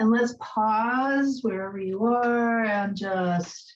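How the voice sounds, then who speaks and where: The speaker is a woman with a fairly high pitch. Her tone is calm and gentle. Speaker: yoga instructor. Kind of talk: guided yoga class. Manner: calm, gentle instruction.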